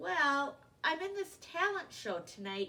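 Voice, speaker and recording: Using a put-on character voice, a woman talks at a fairly slow pace and a high pitch, with very wide pitch swings. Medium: read story.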